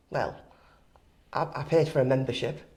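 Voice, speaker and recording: Somewhat breathy, a woman with a Teesside accent speaks at a moderate pace. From northern England, Teesside (Stockton). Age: 60s. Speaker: retired gym member. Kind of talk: podcast interview.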